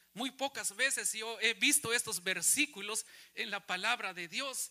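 A man uses a raised, projected voice with a bright, sharp tone. He speaks at a fairly slow pace. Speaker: pastor. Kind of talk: sermon, preacher in full flow, rhetorical questions to congregation. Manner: animated, emphatic, rising-and-falling delivery, repeating phrases, mocking voices; rhetorical audience questions, repeated for emphasis.

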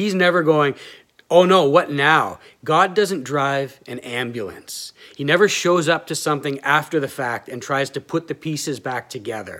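The man has an ordinary speaking voice, fairly high in pitch with ordinary pitch variation, and talks at a fairly slow pace in a very clean recording with a silent background. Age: 30s. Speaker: pastor. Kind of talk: sermon.

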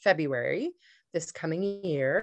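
An unremarkable speaking voice with a Canadian accent moves at a fairly slow pace. Its pitch variation is ordinary. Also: woman. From Canada, Ontario (Petawawa, Kingston). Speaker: beauty entrepreneur. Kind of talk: interview.

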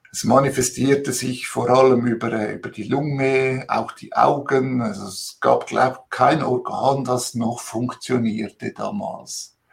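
A man's somewhat breathy voice at medium pitch and a very slow pace. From Switzerland, Italian immigrant family. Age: 50s. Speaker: interviewee sharing life story. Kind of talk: personal testimony in interview. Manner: animated, temperamental.

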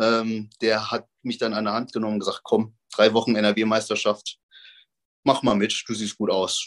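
Speaking at a moderate pace over a quiet background, a man with a medium-pitched voice uses a plain, everyday voice. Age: 30s. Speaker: professional bodybuilder. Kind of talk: casual interview.

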